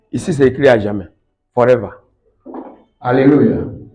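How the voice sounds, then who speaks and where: Audible room echo surrounds a man as he speaks at a moderate pace. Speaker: evangelist preacher. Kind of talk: sermon.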